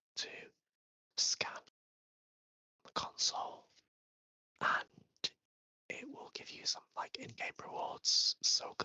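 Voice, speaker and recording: Someone whispers at a fairly slow pace. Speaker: ASMR creator. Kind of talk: ASMR whispered gaming tour. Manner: soft-spoken, whispered.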